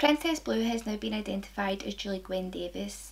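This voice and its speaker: A woman with a Scottish accent speaks at a moderate pace. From Scotland. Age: 20s. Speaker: true crime video maker. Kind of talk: true crime narration to camera. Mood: calm, serious.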